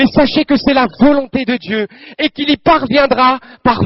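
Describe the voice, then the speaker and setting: A man speaks at an extremely high pitch with ordinary pitch variation. His pace is very slow. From Normandy, France (Calvados). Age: 20s. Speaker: medical student giving a religious testimony. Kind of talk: testimony and exhortation at a prayer assembly. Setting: prayer assembly with audience, microphone. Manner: fervent, preacher-like.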